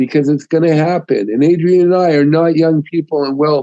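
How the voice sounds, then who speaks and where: Fairly high pitched for a man, this man's voice has a dark, mellow tone and fairly even intonation, with a dry, close sound and no echo. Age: old. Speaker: author. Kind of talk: interview.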